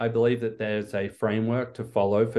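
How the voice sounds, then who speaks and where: A man with an American accent, medium pitch and monotone, flat intonation, against a quiet background. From Australia. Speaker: neuroscientist and biotech executive. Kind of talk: interview.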